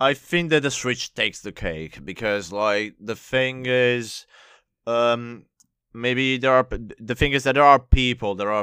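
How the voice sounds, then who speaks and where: With an Italian accent, a man speaks at a fairly slow pace in a bright, sharp tone with ordinary pitch variation, recorded very cleanly against a silent background. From Italy. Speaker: music remixer and producer. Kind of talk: casual interview chat.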